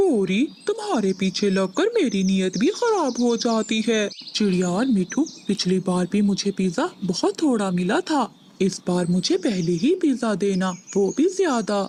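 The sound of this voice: A female-sounding cartoonish character voice is pitched fairly high. The pace is fairly slow.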